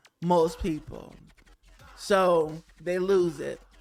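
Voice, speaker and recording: An animated tone with music in the background. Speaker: EDM vocalist and news vlogger. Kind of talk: casual vlog commentary. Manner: fast.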